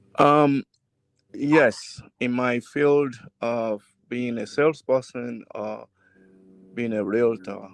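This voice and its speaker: A man with a Nigerian accent speaks at a medium pitch, very slowly, with fairly even intonation and long, frequent pauses. The sound is dry and close, with no echo. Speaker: realtor and salesperson. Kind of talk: casual family podcast discussion. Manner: deliberately slow; hesitant, with fillers.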